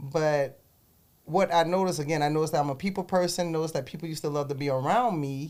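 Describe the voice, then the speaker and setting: In a South Carolina Lowcountry accent, a woman with a very deep, low pitch talks at a very fast pace with ordinary pitch variation. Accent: Southern US, South Carolina Lowcountry. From US South, South Carolina Low Country. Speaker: entrepreneur. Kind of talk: interview.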